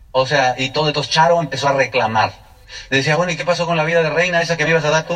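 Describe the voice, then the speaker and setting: With fairly even intonation and a fairly high pitch, a man rushes along at a very fast pace amid noticeable background noise. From State of Mexico, Mexico. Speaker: network marketing speaker. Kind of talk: testimony.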